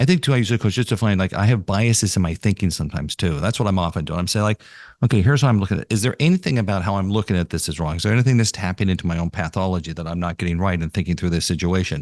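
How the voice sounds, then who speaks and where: Hardly pausing, a man with an American accent speaks at a very fast pace in a very deep, low pitch with ordinary pitch variation, the sound dry and close with no echo against a quiet background. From New York. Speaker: podcast host, marketing association CEO. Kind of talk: interview conversation.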